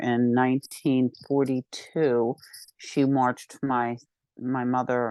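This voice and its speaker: A woman with an American accent speaks with a very deep, low pitch and monotone, flat intonation in a dry, close sound with no echo and a quiet background. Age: 60s. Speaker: psychotherapist. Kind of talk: interview.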